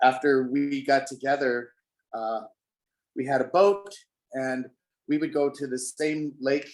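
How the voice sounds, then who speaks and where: A man with an American accent and a fairly high pitch, at a fairly slow pace with long, frequent pauses. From Denver, Colorado. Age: 60s. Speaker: pianist. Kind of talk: interview. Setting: video call.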